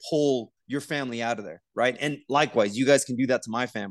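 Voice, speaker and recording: A man's plain, everyday voice at medium pitch, with ordinary pitch variation, a fairly quick pace and a quiet background. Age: 40s. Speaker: podcast co-host, military veteran. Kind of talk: casual chat.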